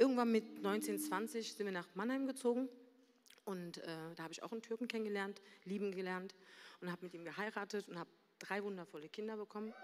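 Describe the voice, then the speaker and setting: Pausing long and often, a woman still talks at a fairly quick pace, her loudness swinging widely and her pitch varying in an ordinary way. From Berlin, Germany. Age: 40s. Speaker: church member sharing a story. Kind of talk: testimony. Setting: stage with audience.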